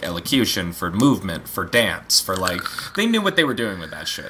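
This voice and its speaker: Medium-pitched and with an American accent, a man talks at a fairly quick pace. His pitch swings very widely over noticeable background noise. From Montana and Pennsylvania, US. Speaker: film director. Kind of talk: casual interview chat.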